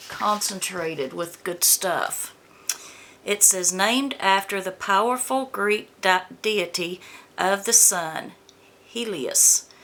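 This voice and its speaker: Amid noticeable background noise, a woman with a medium pitch speaks at a very slow pace. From US South, Georgia. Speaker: beauty vlogger. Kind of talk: product unboxing review. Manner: casual, chatty.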